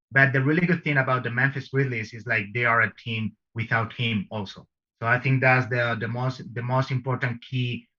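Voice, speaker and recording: With a Spanish accent, a man talks at a fairly quick pace, his medium-pitched voice bright and sharp in tone. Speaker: basketball pundit guest. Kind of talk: casual chat.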